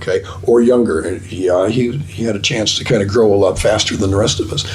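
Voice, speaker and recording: With an American accent, a man talks at a fairly quick pace in a fairly low voice with fairly even intonation, amid noticeable background noise and audible room echo. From Minnesota. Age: 70s. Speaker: double bass player and teacher. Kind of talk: casual interview chat.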